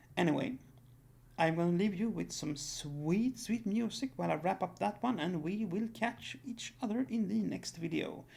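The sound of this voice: A raspy, gravelly voice with vocal fry and a slightly mellow tone, at a moderate pace with ordinary pitch variation.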